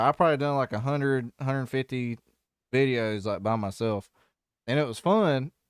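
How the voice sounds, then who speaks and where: With a Southern US accent, the speaker moves at a moderate pace with lively intonation on a very clean recording with a silent background and a dry, close sound with no echo. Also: man. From US South. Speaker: music reaction YouTuber. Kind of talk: casual chat. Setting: live stream. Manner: halting, many fillers.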